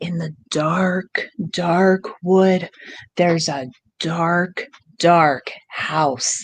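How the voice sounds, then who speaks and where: Whispering in a put-on character voice, the speaker goes at a very slow pace. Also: woman. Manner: spooky whispering.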